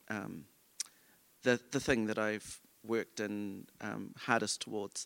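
On a very clean recording with a silent background and a dry, close sound with no echo, a man speaks with a New Zealand accent at a fairly slow pace. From New Zealand, Auckland. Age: 40s. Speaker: choreographer and dancer. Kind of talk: live onstage interview. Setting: stage with audience.

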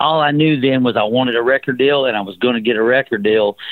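A man with a Southern US accent talks at a moderate pace. His pitch is fairly high, with ordinary pitch variation. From US South. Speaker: rock musician. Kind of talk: casual interview. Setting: phone call.

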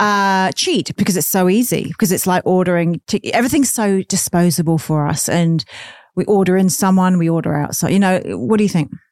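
A woman with an Australian accent speaks at a fairly quick pace and medium pitch, with ordinary pitch variation and very even loudness, in a very clean, dry, close recording with no echo and a silent background. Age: 40s. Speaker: podcast host, former sex worker. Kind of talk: casual interview chat.

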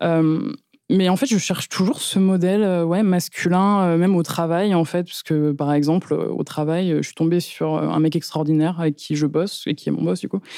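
At a moderate pace, a woman talks with a fairly low pitch, a dark, mellow tone, and fairly even intonation. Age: 20s. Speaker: podcast guest. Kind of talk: testimony. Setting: studio. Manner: halting.

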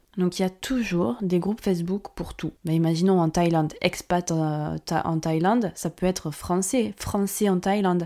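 A woman's fairly low voice at a fairly slow pace, on a very clean recording with a silent background. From France. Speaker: podcast host, marketing consultant. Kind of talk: solo podcast monologue. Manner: casual, animated.

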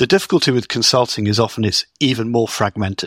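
A man speaks at medium pitch with a bright, sharp tone. The recording is very clean, with a silent background and a dry, close sound with no echo. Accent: British. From Britain. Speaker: business technology consultant. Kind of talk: interview.

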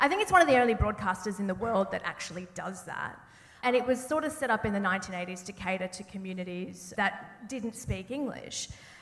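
A woman with an Australian accent speaks at a fairly quick pace in a medium pitch, with ordinary pitch variation and big swings in loudness. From Sydney, Australia. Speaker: journalist and TV presenter. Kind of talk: panel conversation on stage. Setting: theatre stage with live audience.

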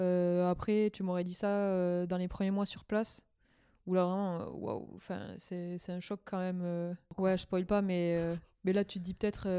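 On a very clean recording with a silent background, a woman speaks at a fairly slow pace and medium pitch in a dark, mellow tone with monotone, flat intonation. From southwestern France. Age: 20s. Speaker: former expatriate. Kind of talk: casual chat.

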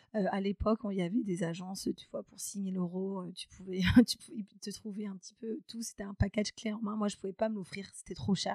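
A woman with a medium pitch and a dark, mellow, somewhat breathy tone talks at a fairly quick pace. Her intonation is fairly even, and the sound is dry and close with no echo. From France, Charente (rural). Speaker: HR and recruitment specialist. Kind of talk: interview. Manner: hesitant, many fillers.

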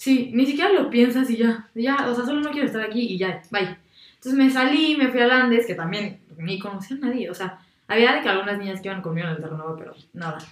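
A woman talks at a very fast pace in a fairly high pitch. Her intonation is lively, and her loudness swings widely. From Mexico, San Luis Potosí. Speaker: architecture student, former volunteer abroad. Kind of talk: casual chat. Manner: animated.

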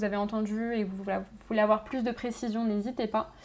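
A woman's fairly high pitch in a monotone, flat intonation. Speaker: radio host. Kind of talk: interview.

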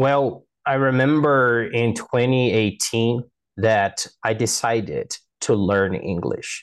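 A man's medium-pitched voice in a Portuguese accent, very slow, with ordinary pitch variation, very even loudness, and a quiet background. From Brazil, Manaus. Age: 20s. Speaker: linguistics student. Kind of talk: interview.

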